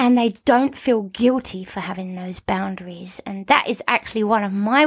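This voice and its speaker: Recorded with a dry, close sound and no echo, a woman talks at a moderate pace with ordinary pitch variation in an unremarkable speaking voice. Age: 40s. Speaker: horse trainer and podcast host. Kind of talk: solo podcast monologue. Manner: casual and conversational.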